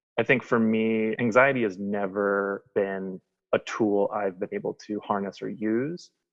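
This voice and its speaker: Speaking with an American accent, a man has a fairly low pitch. His pace is fairly slow and his intonation fairly even. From US Midwest. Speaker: person in addiction recovery. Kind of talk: casual interview. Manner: self-described shy.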